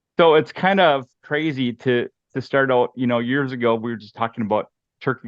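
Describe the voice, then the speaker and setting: Someone with a Minnesotan accent talks at a fairly quick pace with ordinary pitch variation. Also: man. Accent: Minnesota. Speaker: hunting guide and outdoor product developer. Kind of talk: casual interview chat.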